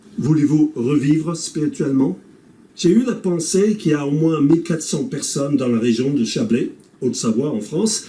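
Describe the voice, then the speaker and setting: A man with an English Canadian accent and a dark, mellow tone, at a moderate pace with very wide pitch swings and big swings in loudness. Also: fairly high pitch for a man. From English-speaking Canada. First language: English (speaking French). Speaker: pastor. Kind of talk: scripted presentation.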